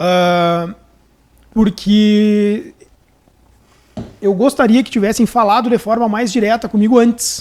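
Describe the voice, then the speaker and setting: A man with a high pitch speaks in a Rio Grande do Sul accent. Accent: gaúcho. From Rio Grande do Sul, Brazil (Santo Ângelo). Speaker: public defender. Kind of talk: casual chat. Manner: halting, many repetitions.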